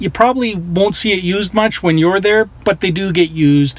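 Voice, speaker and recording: Noticeable background noise sits behind a man whose pitch shifts in an ordinary way. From born in former Yugoslavia (Croatia). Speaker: vlogger. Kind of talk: casual vlog talk. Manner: casual, animated.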